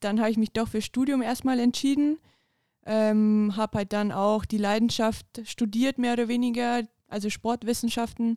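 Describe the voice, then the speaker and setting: A woman with a fairly high pitch and a dark, mellow tone speaks at a fairly slow pace, monotone and flat, at very even loudness. The sound is dry and close with no echo, in a very clean recording with a silent background. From Bavaria, Upper Palatinate. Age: 20s. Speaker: women's football player and police trainee. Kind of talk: casual interview. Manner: laughing often.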